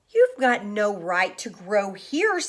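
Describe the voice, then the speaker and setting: In a put-on character voice, a woman of medium pitch growls with lively intonation. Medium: read story. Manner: peevish.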